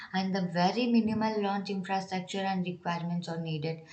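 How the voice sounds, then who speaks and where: A somewhat breathy woman's voice at medium pitch, with fairly even intonation. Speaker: exam coaching educator. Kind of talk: educational lecture.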